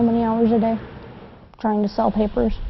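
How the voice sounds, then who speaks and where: A woman talks at a very fast pace in a fairly high, monotone voice with flat intonation. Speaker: street newspaper vendor. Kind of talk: documentary interview.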